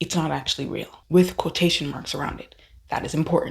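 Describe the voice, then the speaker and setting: Her pace is fairly quick. The woman sounds somewhat breathy, with a fairly low pitch. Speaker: YouTube commentary creator. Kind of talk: casual rant to camera. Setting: indoor room, early morning.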